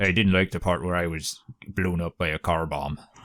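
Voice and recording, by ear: A man puts on a gruff character voice with a Northern Irish accent, pitched very deep and low. He talks at a fairly quick pace with fairly even intonation.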